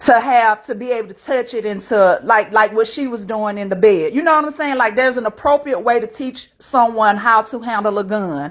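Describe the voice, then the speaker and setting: This woman talks with an American accent at a fairly quick pace, with hardly any pauses. Her pitch is fairly high, with ordinary pitch variation. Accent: slight country. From US South, rural. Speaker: panel participant in live stream discussion. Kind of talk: casual discussion.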